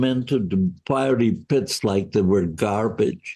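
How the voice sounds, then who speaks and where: In a dark, mellow tone, a man speaks at a very slow pace. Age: 80s+. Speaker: Holocaust survivor. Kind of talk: interview answer.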